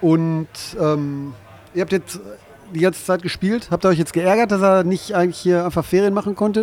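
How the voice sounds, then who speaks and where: Fairly even intonation broken by long, frequent pauses. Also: man, high pitch for a man, moderate pace. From Ruhr area, Bochum. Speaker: livestream interviewer. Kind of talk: casual interview. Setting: live stream.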